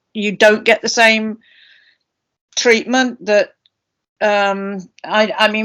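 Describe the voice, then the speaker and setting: With a British accent, a woman speaks at a fairly slow pace, her medium-pitched voice holding a fairly even intonation. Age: 70s. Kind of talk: panel discussion.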